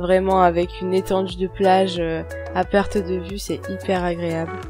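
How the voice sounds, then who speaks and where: A soft-spoken, calm woman at a fairly slow pace, with music in the background. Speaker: horse rider. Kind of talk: voice-over narration. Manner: soft, calm.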